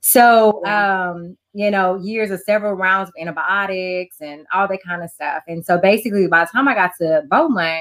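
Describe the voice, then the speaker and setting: A woman speaks in an ordinary speaking voice, fairly low in pitch, at a moderate pace with ordinary pitch variation. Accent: American. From Texas, Houston. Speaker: life and wellness coach. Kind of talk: interview.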